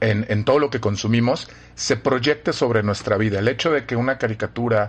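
A man in a Mexican accent talks at a fairly quick pace. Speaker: professor. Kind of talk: casual chat.

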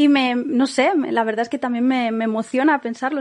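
A woman speaks in a high voice. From Catalonia, Spain. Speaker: podcast host and Spanish tutor. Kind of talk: lecture; casual chat.

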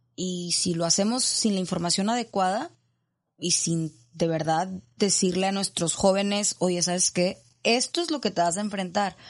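A woman talks in a plain, everyday voice, her pitch medium with ordinary variation and her pace moderate. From Monterrey, Mexico. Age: 30s. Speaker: addiction counselor and coach. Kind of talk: interview testimony. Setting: studio.

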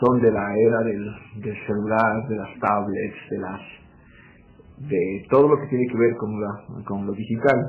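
A man speaks slowly-ish, at a fairly slow pace with medium pitch and fairly even intonation. Long, frequent pauses and audible room echo mark the clip. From Ecuador. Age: 30s. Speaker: newspaper editor. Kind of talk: interview. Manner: halting, many fillers.

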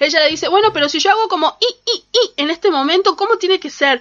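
A woman speaking at a fairly quick pace. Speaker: radio co-host. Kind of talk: casual chat. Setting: radio studio.

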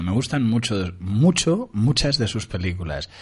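Somewhat breathy and with lively intonation, a man speaks at a medium pitch. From Uruguay, Montevideo. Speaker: radio host. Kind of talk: casual chat.

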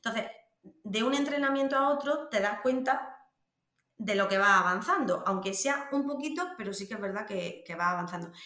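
With audible room echo, a woman talks at a moderate pace in a fairly high pitch, her intonation lively. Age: 30s. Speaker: vaginismus patient sharing her experience. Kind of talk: interview testimony. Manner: halting.

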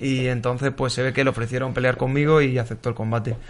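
Flat, monotone intonation carries a fairly quick delivery. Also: man. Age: 20s. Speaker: professional MMA fighter. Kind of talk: panel discussion.

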